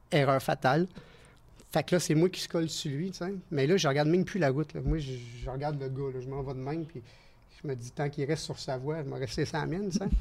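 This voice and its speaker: A man with a Quebec accent talks at a very fast pace and a fairly high pitch. His voice is somewhat breathy, with ordinary pitch variation. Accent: Québécois French. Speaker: stunt performer. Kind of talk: casual chat. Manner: animated.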